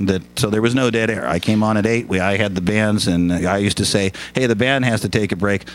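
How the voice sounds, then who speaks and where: Over noticeable background noise, a man with an American accent talks at a fairly quick pace and fairly low pitch, with fairly even intonation, very even loudness and hardly any pauses. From Lakewood, Washington (US Pacific Northwest). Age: 50s. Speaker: broadcaster and political satirist. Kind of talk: casual chat.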